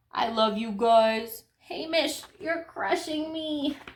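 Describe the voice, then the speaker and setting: A woman uses a put-on character voice, high-pitched and very slow. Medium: read story.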